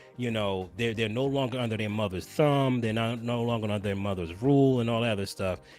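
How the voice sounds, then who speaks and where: Over music in the background, a man speaks fairly quickly in an animated tone with ordinary pitch variation. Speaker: streamer. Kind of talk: casual chat.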